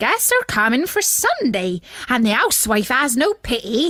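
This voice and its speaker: A put-on character voice with very wide pitch swings at a moderate pace. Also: woman, high pitch for a woman. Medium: read story. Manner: loud.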